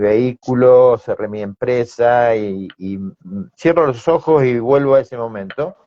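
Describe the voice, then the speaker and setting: The voice has a dark, mellow tone and lively intonation, moving at a very slow pace in a dry, close sound with no echo. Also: man. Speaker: sales expert, business owner. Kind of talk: interview.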